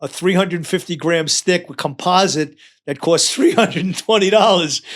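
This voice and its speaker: A man with a New York accent speaks at a moderate pace in a high voice, on a very clean recording with a silent background. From New York, Long Island. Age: 70s. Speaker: retired firefighter. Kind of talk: casual chat.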